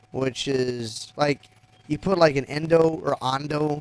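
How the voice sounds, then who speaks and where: Here a man speaks in a South Texas accent. His intonation is fairly even. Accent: South Texas American English. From US South, Texas (Rio Grande Valley). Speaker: gaming live streamer. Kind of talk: casual chat. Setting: live stream. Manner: halting.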